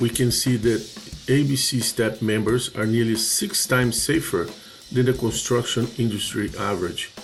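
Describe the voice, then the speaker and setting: With a strong Portuguese accent, a man of medium pitch speaks at a moderate pace with ordinary pitch variation. Music plays in the background. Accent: heavy Portuguese. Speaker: construction safety trainer. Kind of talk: training presentation.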